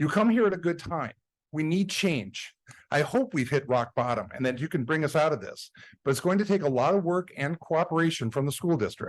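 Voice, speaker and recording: Lively intonation at a fairly quick pace, with a quiet background. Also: man, fairly high pitch for a man. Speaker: parent making public comment. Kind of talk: public comment at board meeting. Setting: school board meeting. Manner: fast.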